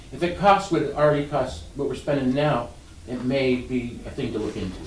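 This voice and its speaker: There is audible room echo as a man speaks fairly quickly at a medium pitch with ordinary pitch variation. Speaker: county commissioner. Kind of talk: public meeting discussion. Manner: fast; halting.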